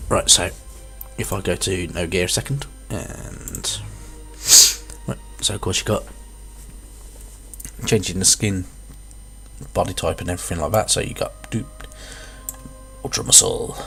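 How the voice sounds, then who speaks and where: Moderate pacing broken by long, frequent pauses, with music in the background. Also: man. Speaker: gamer. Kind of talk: casual gameplay commentary.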